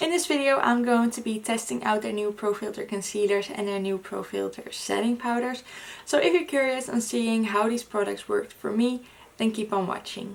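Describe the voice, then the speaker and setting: A woman talks at a moderate pace with fairly high pitch and ordinary pitch variation. Noticeable background noise is present. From Netherlands. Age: 20s. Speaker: beauty influencer. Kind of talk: makeup review talk to camera.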